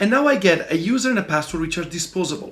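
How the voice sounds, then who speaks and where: The speaker has an Italian accent and a moderate pace. Pitch variation is ordinary. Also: man. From Italy. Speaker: software developer and tech tutorial presenter. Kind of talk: tutorial. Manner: casual, halting with fillers.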